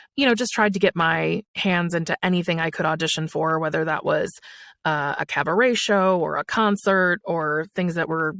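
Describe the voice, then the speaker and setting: A woman with an American accent has an ordinary speaking voice, fairly low in pitch with ordinary pitch variation, at a moderate pace. The recording is very clean with a silent background, the sound dry and close with no echo. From Buffalo, New York. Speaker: voice actor. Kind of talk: interview answer.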